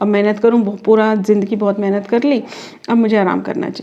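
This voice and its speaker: Talking at a moderate speed, a woman uses an ordinary speaking voice pitched fairly high. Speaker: reiki master and tarot card reader. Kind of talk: tarot reading, spiritual guidance to camera. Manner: calm, explanatory, conversational.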